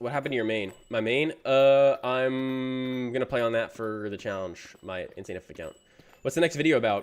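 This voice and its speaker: An unremarkable speaking voice from a man, medium pitch, moderate pace, ordinary pitch variation. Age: 20s. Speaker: gaming streamer. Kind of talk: casual live stream chat while gaming. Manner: casual, filler-heavy.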